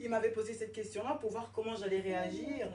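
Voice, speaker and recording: Her voice is fairly high and her intonation lively. There is noticeable background noise behind the woman. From Paris suburbs, France. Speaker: interviewee. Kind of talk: interview. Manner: animated.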